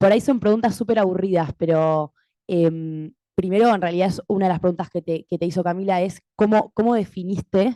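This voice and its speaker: Dark and mellow in tone, a woman speaks at a medium pitch with ordinary pitch variation. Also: dry, close sound with no echo. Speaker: doctoral student audience member. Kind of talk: audience question at academic panel.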